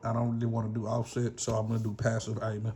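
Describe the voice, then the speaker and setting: This man has a Southern US accent and a medium-pitched voice. His tone is dark and mellow. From US South. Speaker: gun channel YouTuber. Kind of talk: casual vlog monologue. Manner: rambling, casual.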